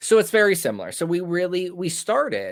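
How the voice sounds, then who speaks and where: Speaking at a fairly quick pace, a man with an American accent comes through in a very clean recording with a silent background. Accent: New Jersey-like on some words. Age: 20s. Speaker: podcast host in addiction recovery. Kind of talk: casual chat.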